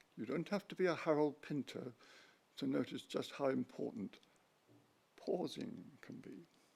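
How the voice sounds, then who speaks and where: Man's fairly high voice with vocal fry, very wide pitch swings, big swings in loudness, a moderate pace and long, frequent pauses. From London, England. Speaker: retired physics professor. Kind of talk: talk.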